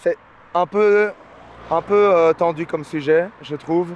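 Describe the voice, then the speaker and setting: The sound of this man's voice is dry, with no echo. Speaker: travel vlogger hitchhiking. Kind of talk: casual vlog chat. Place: street. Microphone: phone near.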